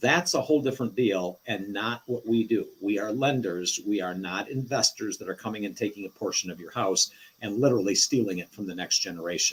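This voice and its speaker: With a plain, everyday voice, a man speaks at a fairly quick pace and with lively intonation. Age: 60s. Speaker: reverse mortgage lender. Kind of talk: live show interview. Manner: explanatory.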